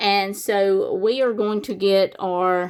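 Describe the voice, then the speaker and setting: A woman with a Southern US accent at a very slow pace, medium in pitch with ordinary pitch variation, on a very clean recording with a silent background. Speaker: savings challenge YouTuber. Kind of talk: casual tutorial-style vlog narration. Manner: casual, chatty with fillers.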